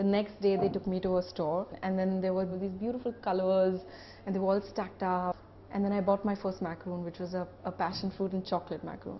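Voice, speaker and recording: Her pitch medium and her intonation monotone and flat, a woman talks at a fairly quick pace. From India, Mumbai. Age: 20s. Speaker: pastry chef and shop owner. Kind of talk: interview monologue.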